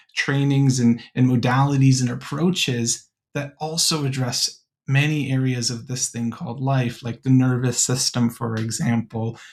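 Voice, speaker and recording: Somewhat breathy, a man speaks at a medium pitch and a fairly slow pace with fairly even intonation. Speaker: podcast host, college admissions worker. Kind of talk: podcast conversation.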